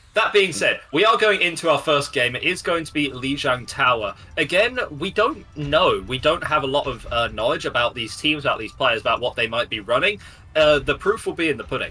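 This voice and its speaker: A man with an East Midlands accent talks at a fairly quick pace and a fairly high pitch over music in the background. His intonation is lively. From England, Nottingham. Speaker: esports caster. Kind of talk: live commentary. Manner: casual, joking.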